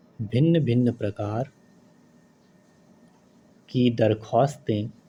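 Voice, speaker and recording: A man talks with a dark, mellow tone and a somewhat breathy quality. His pitch sits in the medium range, and his intonation stays fairly even. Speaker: stenography dictation reader. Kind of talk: slow legal text dictation for typing practice. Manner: slow, clear.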